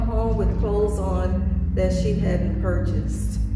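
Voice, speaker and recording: Fairly slow speech with audible room echo and music in the background. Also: woman. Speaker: preacher. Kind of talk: sermon. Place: church. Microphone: podium.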